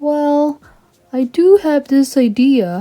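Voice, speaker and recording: A woman's high, put-on character voice with lively intonation. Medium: read story.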